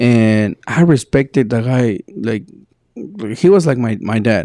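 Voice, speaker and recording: A man with a Spanish accent speaks at medium pitch and a fairly slow pace, with lively intonation. His tone is dark and mellow, in a dry, close sound with no echo. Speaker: podcast co-host. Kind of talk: casual chat. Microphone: sometimes sounds far from the mic.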